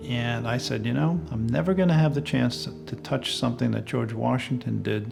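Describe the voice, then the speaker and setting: With music in the background, a man with an American accent speaks at a moderate pace in a medium pitch that makes very wide swings. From Long Island, New York. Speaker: lighthouse keeper. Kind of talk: interview answer.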